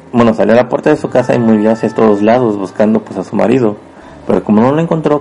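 A man with a central Mexican accent talks at a very fast pace over noticeable background noise. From Mexico, Puebla. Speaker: podcast host and storyteller. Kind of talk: storytelling narration. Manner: hesitant, many fillers.

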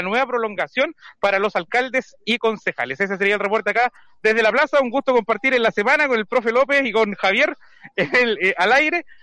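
Dry and close with no echo, a man's high-pitched, raised, projected voice moves at a fairly quick pace with a bright, sharp tone and ordinary pitch variation. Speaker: street reporter. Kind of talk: field interview. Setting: outdoors in a town square.

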